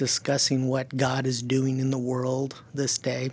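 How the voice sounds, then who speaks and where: This is a man's voice. It lands at a medium pitch. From California, German-speaking home. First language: German. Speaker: missionary to the deaf. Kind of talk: interview.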